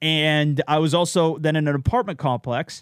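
A man speaks loudly at a moderate pace. His tone is animated. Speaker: content creator. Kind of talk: casual chat. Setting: home recording.

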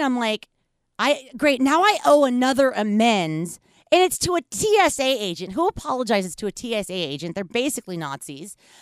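A woman with an American accent speaks at a high pitch and a moderate pace, with very wide pitch swings and a dry, close sound with no echo. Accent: half Yankee, slight Southern. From US South. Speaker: podcast host. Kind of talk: casual chat. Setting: studio.

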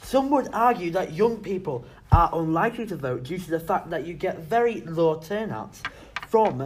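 Against noticeable background noise, a high-pitched man speaks with lively intonation. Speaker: podcast host. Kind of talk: casual comedic political chat. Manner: jokey, banter.

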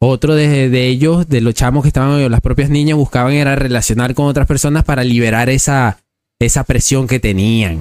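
Here a man talks at a moderate pace and a medium pitch. His loudness stays very even, with ordinary pitch variation. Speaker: podcast host. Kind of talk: casual interview. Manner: talkative.

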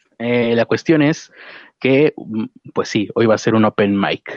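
At a fairly slow pace, a man with medium pitch speaks in an unremarkable speaking voice. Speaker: podcast host. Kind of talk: casual chat. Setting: outdoors.

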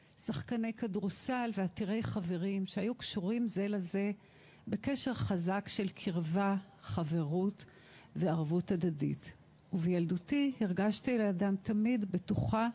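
Speaking at a very slow pace with very even loudness, a woman with an Israeli accent has a medium pitch, a somewhat breathy, dark, mellow tone and a quiet background. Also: ordinary pitch variation. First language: Hebrew (speaking German). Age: 60s. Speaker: art therapist. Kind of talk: testimony.

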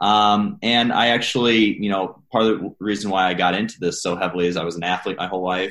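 A man's fairly low, plain, everyday voice at a fairly quick pace, with ordinary pitch variation and a quiet background. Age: 30s. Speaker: coach and army veteran. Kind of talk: interview.

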